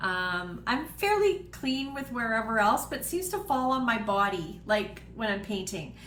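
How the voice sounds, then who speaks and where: In a room with audible echo, a woman with a Canadian accent talks at a fairly slow pace with hardly any pauses. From Canada (Manitoba). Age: 60s. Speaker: home cooking host and wellness seller. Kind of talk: live cooking demo chat. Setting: home office, livestream. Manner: casual, with frequent fillers.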